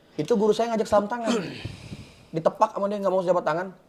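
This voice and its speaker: Amid noticeable background noise, a man speaks in a high voice with ordinary pitch variation. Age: 20s. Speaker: guest from a religious background. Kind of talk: talk show discussion.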